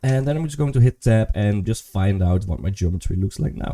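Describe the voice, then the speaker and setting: Dry and close with no echo, a man speaks at a moderate pace with a dark, mellow, somewhat breathy tone, a fairly low pitch and very wide pitch swings. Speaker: 3D modeling tutor. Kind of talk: tutorial. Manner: casual, thinking aloud.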